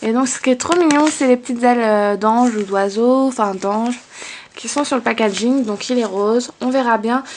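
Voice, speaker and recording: Over noticeable background noise, a woman with a fairly high pitch speaks at a fairly quick pace with fairly even intonation. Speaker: beauty vlogger. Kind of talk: casual product haul vlog. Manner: hesitant with many fillers.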